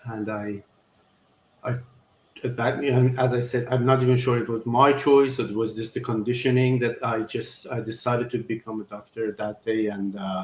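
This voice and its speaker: A man speaks with an Iranian accent. His voice is somewhat breathy and his intonation is monotone and flat. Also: medium pitch for a man, moderate pace. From Iran, Tehran. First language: Farsi. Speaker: surgeon. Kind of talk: interview. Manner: halting.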